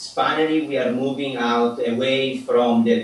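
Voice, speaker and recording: A man with a non-native accent amid noticeable background noise. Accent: noticeable foreign. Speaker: app developer and professor. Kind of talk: interview; tutorial. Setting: video call.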